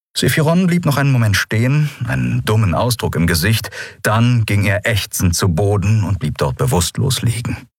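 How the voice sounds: Lively intonation colors a natural reading voice here.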